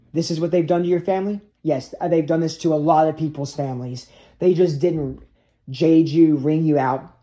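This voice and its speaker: Moving at a moderate pace, a man talks with a fairly high pitch, a dark, mellow tone and fairly even intonation. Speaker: video blogger. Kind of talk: rambling monologue. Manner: agitated.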